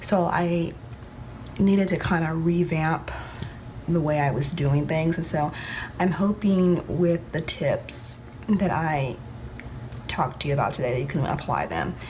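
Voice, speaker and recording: A woman speaks quietly at a fairly low pitch and a fairly slow pace, with ordinary pitch variation and long, frequent pauses. Audible room echo and noticeable background noise fill the recording. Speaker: planner vlogger. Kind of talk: casual vlog tutorial. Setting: at home, early morning. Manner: talking low, quiet; hesitant with many ums.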